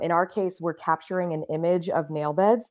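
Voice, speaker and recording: A woman with an American accent talks at a fairly quick pace in a plain, everyday voice, fairly low in pitch. Her intonation is fairly even, and the recording is very clean with a silent background. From US South, Miami, Florida. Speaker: startup CEO and co-founder. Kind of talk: interview.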